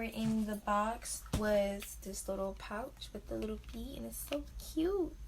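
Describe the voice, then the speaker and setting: With audible room echo and noticeable background noise, a woman talks in an American accent. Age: young. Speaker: beauty vlogger. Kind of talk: product unboxing review. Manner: casual, filler-heavy.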